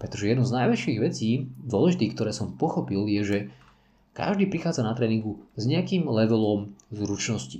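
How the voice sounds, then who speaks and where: Fairly low male voice with vocal fry and a dark, mellow tone, very wide pitch swings, a fairly quick pace, and audible room echo. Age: 40s. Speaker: parkour and fitness coach. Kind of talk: solo podcast monologue.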